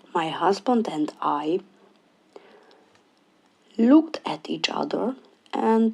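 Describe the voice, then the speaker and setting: A woman with a non-native accent at a very slow pace. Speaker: diamond painting hobbyist. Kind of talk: casual talk to camera.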